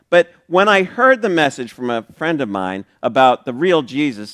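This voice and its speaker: A man speaks at a moderate pace with a fairly high pitch. His pitch swings very widely, and the sound is dry and close with no echo. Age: 60s. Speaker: pastor. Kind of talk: sermon. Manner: casual, conversational with fillers.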